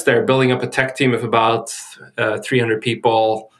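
With fairly even intonation, a man speaks at a moderate pace. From Sweden. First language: Swedish. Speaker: tech executive, data engineer. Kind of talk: interview. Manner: halting.

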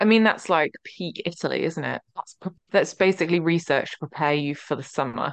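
A woman speaks in a normal speaking voice at a fairly quick pace, her pitch fairly low with ordinary variation. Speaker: podcast host.

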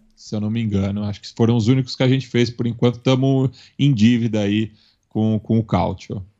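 A medium-pitched male voice moves at a fairly quick pace. The man's intonation stays fairly even. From Brazil, São Paulo. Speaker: podcast network representative and football commentator. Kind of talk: casual chat. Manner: halting, with frequent fillers.

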